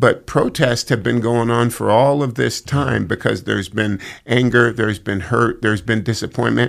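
A man speaks at a moderate pace with vocal fry and a medium pitch. His intonation stays fairly even, with hardly any pauses. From Northern California, Sacramento area. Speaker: football team chaplain. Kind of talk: casual chat.

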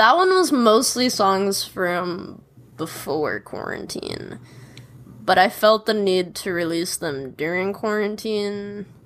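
Heard on a very clean recording with a silent background, a woman speaks at a very slow pace. She has an American accent and a medium pitch. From Chicago, US Midwest. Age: 20s. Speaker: singer-songwriter. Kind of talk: casual chat.

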